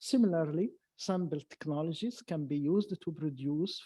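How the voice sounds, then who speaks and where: A man with an Arabic accent speaks in a dark, mellow tone with ordinary pitch variation. The sound is dry and close with no echo. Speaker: science academy president. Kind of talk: panel talk. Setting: lecture hall with audience. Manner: halting.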